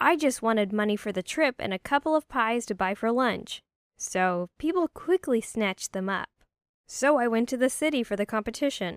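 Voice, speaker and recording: With lively intonation and a plain, everyday voice, a woman speaks at a moderate pace in a dry, close sound with no echo. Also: very clean recording, silent background. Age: young. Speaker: storyteller. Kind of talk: scripted narration.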